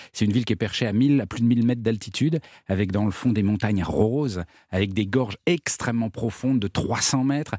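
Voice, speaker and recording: On a very clean recording with a silent background, a man talks at a fairly quick pace and medium pitch, his tone dark and mellow, his pitch variation ordinary, and the sound dry and close with no echo. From Morocco. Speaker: travel columnist. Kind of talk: casual chat.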